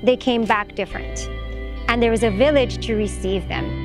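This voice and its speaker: Clear music sits behind a woman's voice, recorded dry with no echo. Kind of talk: interview answer. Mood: calm, reflective, earnest. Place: forest.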